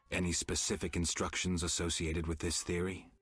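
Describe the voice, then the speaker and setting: A man puts on a character voice, very deep and low, talking at a fairly quick pace. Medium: video game. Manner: terse, dry.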